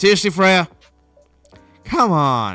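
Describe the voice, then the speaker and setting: A man puts on a gruff, strained character voice at a high pitch. Faint music plays in the background. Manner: exasperated.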